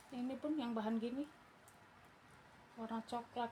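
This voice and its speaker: A fairly high-pitched woman at a moderate pace, with noticeable background noise. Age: old. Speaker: online clothing seller. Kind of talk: live sales pitch. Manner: casual, chatty.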